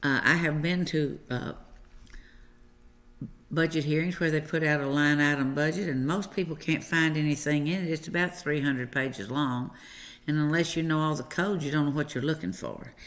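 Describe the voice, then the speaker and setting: A woman with a very deep, low pitch and an American accent, ordinary pitch variation, and a moderate pace. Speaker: county commissioner. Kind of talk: local TV call-in show host talk. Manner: casual, hesitant.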